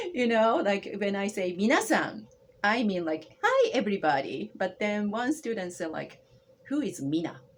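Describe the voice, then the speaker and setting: Her medium pitch making very wide swings, a woman with a Japanese accent speaks at a moderate pace. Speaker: language instructor. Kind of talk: interview conversation. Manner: halting.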